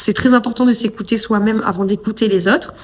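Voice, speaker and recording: A woman's fairly high-pitched voice with ordinary pitch variation, over noticeable background noise. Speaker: podcast host. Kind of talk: casual monologue. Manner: hesitant, many fillers.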